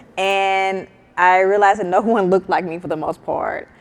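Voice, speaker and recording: Medium in pitch and fairly slow, a woman speaks with a Southern US accent. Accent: Southern country accent, persistent. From US South, Mississippi. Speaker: startup founder. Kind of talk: panel discussion.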